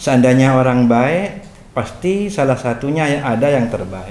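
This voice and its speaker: Speech comes with a Madurese accent. There is audible echo in the room. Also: man. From Madura, Indonesia. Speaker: Islamic cleric and local political figure. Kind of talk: interview.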